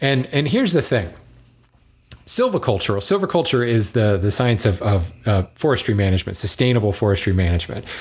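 On a very clean recording with a silent background, a man with a fairly low, somewhat breathy voice talks at a fairly quick pace with lively intonation and very even loudness. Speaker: lumber industry podcast host. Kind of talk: solo podcast monologue answering listener mail. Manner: fast; animated.

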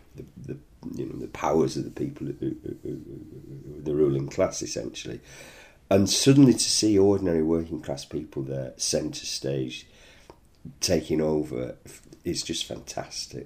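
Moderate-paced speech in a northern English accent, with big swings in loudness. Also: man. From northern England. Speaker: interviewee, former miners' strike supporter. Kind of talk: interview conversation. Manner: repeats words, halting at times.

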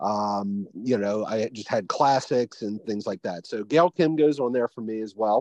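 At a fairly slow pace, a man with a normal speaking voice talks at a medium pitch with ordinary pitch variation. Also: hardly any pauses. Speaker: podcast co-host.

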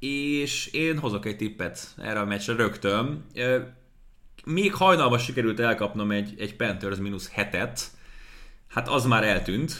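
With long, frequent pauses, a man speaks at a fairly slow pace in a bright, sharp tone. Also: medium pitch for a man, ordinary pitch variation. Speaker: NFL podcast host and sports commentator. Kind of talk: casual sports podcast chat.

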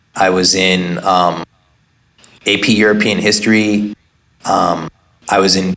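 Flat, monotone intonation in a Californian accent. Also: man. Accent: Californian American. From Oakland, California. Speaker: entrepreneur and activist. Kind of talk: interview.

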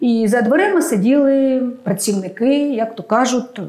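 Noticeable background noise sits behind a woman speaking in a high pitch. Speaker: expert on administrative service centres. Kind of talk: expert panel discussion.

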